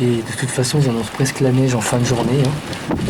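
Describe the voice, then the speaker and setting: Noticeable background noise and audible room echo fill the recording while a man talks at a moderate pace. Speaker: storm chaser. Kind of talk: live commentary. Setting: outdoors. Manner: animated.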